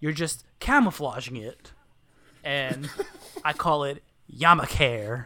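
A bright, sharp tone at a very slow pace, with ordinary pitch variation. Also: man. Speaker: podcast co-host. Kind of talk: casual chat. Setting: at home. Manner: loud.

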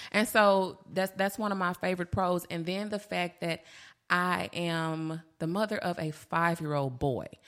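A woman's normal speaking voice, fairly low in pitch with ordinary variation, at a moderate pace on a very clean recording with a silent background. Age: 30s. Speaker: bariatric surgery patient and weight loss advocate. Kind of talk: casual interview chat.

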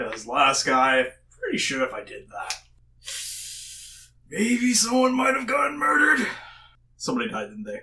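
A man performs a put-on character voice at a moderate pace. He pauses long and often. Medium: actual play. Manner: sarcastic, crude, irritable.

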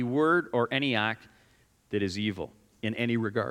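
A man speaks loudly at a moderate pace. His tone is bright and sharp. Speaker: pastor. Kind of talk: sermon. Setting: church.

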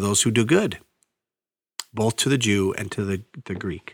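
With an Upper Midwest accent, a man speaks at a fairly quick pace and a fairly low pitch with ordinary pitch variation, on a very clean recording with a silent background. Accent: Upper Midwest (Minnesota). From northeastern Minnesota, Iron Range. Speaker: pastor. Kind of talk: Bible teaching podcast. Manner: casual, conversational.

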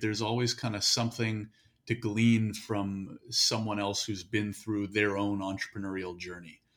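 In a very clean recording with a silent background, a man speaks at a moderate pace in a somewhat breathy voice. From Canada. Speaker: podcast guest, hosts own interview podcast. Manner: conversational, casual.

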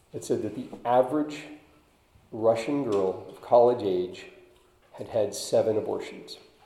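Audible room echo surrounds a man speaking at a fairly slow pace. His loudness swings widely, with long, frequent pauses. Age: 50s. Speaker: lay preacher. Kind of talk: sermon. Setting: church. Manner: halting.

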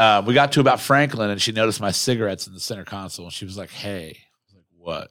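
In a very clean recording with a silent background, a man with a normal speaking voice talks at a fairly quick pace, his medium pitch showing ordinary variation. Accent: American. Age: 20s. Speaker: podcast co-host and mayoral candidate. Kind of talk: casual chat. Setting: studio.

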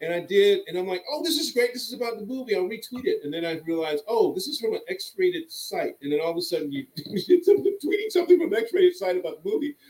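The speaker has an American accent and talks at a very fast pace with hardly any pauses. Their pitch swings very widely. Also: man, extremely high pitch for a man. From US South, Birmingham, Alabama. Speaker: actor. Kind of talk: casual chat.

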